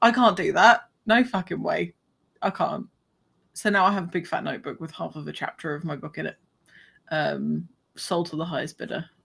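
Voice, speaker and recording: On a very clean recording with a silent background, a woman mumbles at a fairly quick pace, her loudness swinging widely and her speech broken by long, frequent pauses. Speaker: podcast host and fiction writer. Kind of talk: casual chat. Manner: mumbling.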